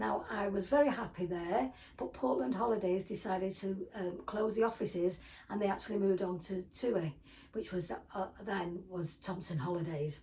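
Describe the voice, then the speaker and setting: A woman's lively intonation against noticeable background noise. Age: 70s. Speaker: retired vlogger. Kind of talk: casual talk to camera. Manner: halting.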